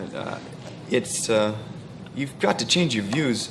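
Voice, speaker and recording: Over noticeable background noise, a man with a fairly low voice speaks at a fairly quick pace with ordinary pitch variation. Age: 30s. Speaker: actor. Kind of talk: talk show interview.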